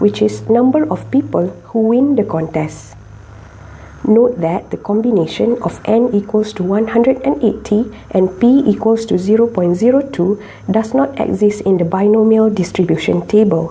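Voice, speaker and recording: Noticeable background noise sits behind the recording. Over it, a woman speaks with a fairly high pitch. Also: ordinary pitch variation, moderate pace. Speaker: statistics teacher. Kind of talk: math tutorial narration.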